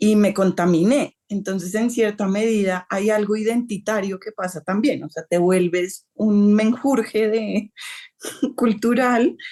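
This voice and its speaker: The voice has a dark, mellow tone and ordinary pitch variation. It moves at a fairly slow pace against a quiet background. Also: woman, medium pitch for a woman. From Colombia. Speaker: novelist. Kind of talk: interview.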